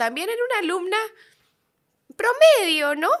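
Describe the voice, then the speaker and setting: Raising and projecting her voice, a woman uses a bright, sharp tone and lively intonation. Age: 30s. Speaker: podcast host and entrepreneur. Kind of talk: interview podcast.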